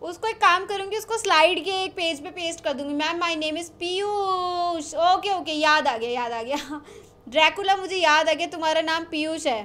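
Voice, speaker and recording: A woman's raised, projected voice, bright and sharp in tone, at a fairly slow pace with ordinary pitch variation. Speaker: online teacher hosting a quiz. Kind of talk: casual live class chat, reading chat messages aloud. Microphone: studio mic.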